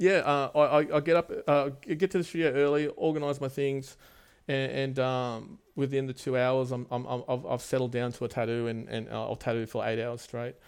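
A man with an Australian accent, medium pitch, ordinary pitch variation and a moderate pace, on a very clean recording with a silent background. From Australia, Wollongong and Sydney. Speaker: tattoo artist and studio owner. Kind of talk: casual chat. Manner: halting, many fillers.

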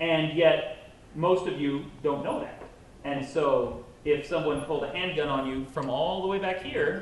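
A man of fairly high pitch at a fairly slow pace, with ordinary pitch variation and noticeable background noise. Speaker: podcast co-host and novelist. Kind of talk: live panel discussion. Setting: stage with audience.

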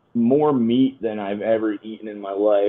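Using an unremarkable speaking voice, a man talks with fairly even intonation. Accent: American. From Connecticut, US. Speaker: touring metal musician. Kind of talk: casual chat.

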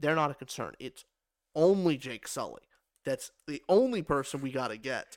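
A man with a normal speaking voice talks at a moderate pace, with lively intonation and a fairly high pitch. The sound is dry and close with no echo, on a very clean recording with a silent background. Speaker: podcast co-host and film reviewer. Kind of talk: casual movie review chat.

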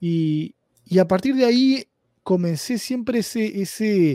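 In a Uruguayan accent, a man speaks with lively intonation and a dark, mellow tone, on a very clean recording with a silent background and a dry, close sound with no echo. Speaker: data analytics expert. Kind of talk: interview. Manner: halting, many repetitions.

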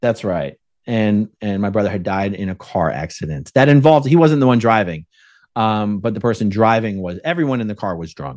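Over a quiet background, a man with an American accent and an unremarkable speaking voice talks at a fairly quick pace, with a fairly low pitch and lively intonation. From South Jersey / Philadelphia area. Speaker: ex-Scientology activist and YouTuber. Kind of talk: podcast interview.

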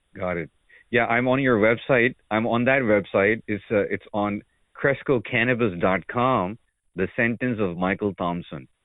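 Speaking in a normal speaking voice, a man keeps a fairly slow pace. His pitch is fairly low, with ordinary pitch variation. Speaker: podcast host. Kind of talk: interview.

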